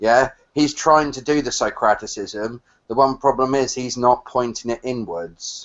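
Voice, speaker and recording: A man with a British accent speaks at a fairly slow pace, his loudness swinging widely. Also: medium pitch for a man, ordinary pitch variation. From England. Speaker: caller. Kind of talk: casual chat. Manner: halting, many fillers; ends statements with yeah.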